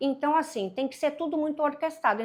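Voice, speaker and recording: On a very clean recording with a silent background, a woman speaks. Her pace is fairly quick. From Brazil, Paraíba (Northeast). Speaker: business mentor and consultant. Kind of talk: podcast interview.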